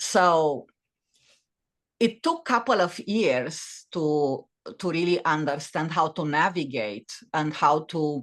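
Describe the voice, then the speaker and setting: A woman speaks very slowly in a very deep, low pitch. Her pitch varies in an ordinary way against a quiet background. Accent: Romanian. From Romania. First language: Romanian. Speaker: author and former corporate executive. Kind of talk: podcast interview. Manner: halting, many fillers and restarts.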